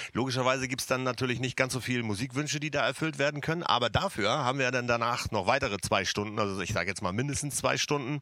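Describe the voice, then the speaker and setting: A man's medium-pitched voice with a bright, sharp tone, ordinary pitch variation, a very fast pace and hardly any pauses. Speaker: DJ. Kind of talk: casual livestream chat. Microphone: too quiet.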